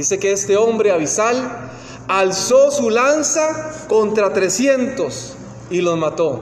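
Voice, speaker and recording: The speaker has a Costa Rican accent. Background noise is noticeable. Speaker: preacher. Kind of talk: sermon. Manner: halting.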